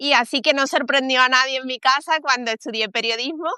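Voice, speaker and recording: A woman with a Spanish accent, high pitch, ordinary pitch variation and a bright, sharp tone at a moderate pace, in a dry, close sound with no echo against a quiet background. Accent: Spanish (Spain). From Spain. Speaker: communications professional. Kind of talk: interview. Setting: live stream.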